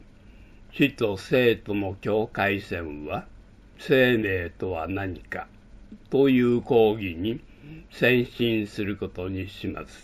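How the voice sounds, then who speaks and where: Very slow delivery with ordinary pitch variation, on a very clean recording against a silent background. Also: man. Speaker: university professor / lecturer. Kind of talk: lecture-style announcement. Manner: formal, addressing students.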